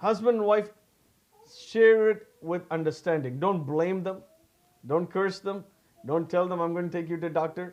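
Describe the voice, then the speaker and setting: A man with a Tamil accent talks in a high pitch with ordinary pitch variation. His pace is moderate, broken by long, frequent pauses. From South India, Tamil-speaking. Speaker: pastor. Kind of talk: sermon. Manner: halting, with restarts.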